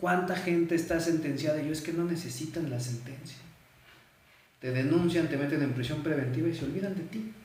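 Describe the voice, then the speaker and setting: Spoken with a Mexican accent and ordinary pitch variation, the voice carries audible room echo. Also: man. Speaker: men's rights advocate. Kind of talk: live stream interview.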